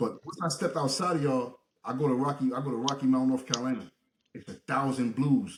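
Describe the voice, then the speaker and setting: Very fast and somewhat breathy, a man talks at a medium pitch. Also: ordinary pitch variation. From Brooklyn, New York. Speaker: podcast host. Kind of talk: casual interview chat. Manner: animated.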